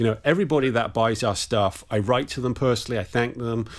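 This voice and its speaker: There is an English accent in this man's speech. He talks at a fairly quick pace. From England. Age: 50s. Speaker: musician and sound mixer. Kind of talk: interview.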